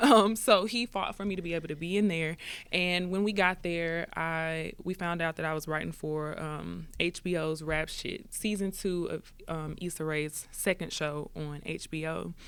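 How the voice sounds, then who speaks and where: Woman with an American accent, fairly low-pitched, at a moderate pace, on a very clean recording with a silent background. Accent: Memphis accent, varies in strength. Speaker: singer-songwriter. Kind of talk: podcast interview. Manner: animated.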